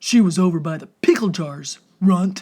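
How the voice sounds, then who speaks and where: Using a put-on character voice, a woman talks at a moderate pace and a medium pitch. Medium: read story. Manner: gruff, rude.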